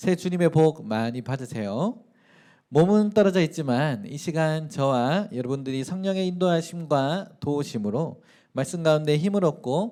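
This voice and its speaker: With a strong Gyeongsang accent, a man with a fairly high pitch and a dark, mellow tone speaks at a fairly slow pace with lively intonation in a very clean recording with a silent background. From South Korea, Daegu (Gyeongsang). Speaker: pastor. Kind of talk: sermon.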